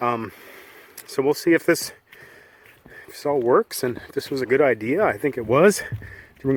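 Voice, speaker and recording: This man's voice is fairly high, with lively intonation and big swings in loudness. He speaks at a moderate pace with long, frequent pauses. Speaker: shanty boat traveler vlogger. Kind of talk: casual talk to camera.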